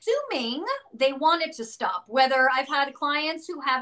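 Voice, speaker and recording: A woman projects her voice loudly at a high pitch. Her tone is bright and sharp, and her pitch varies in an ordinary way. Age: 50s. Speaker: psychic medium and spiritual teacher. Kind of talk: casual interview. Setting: video call.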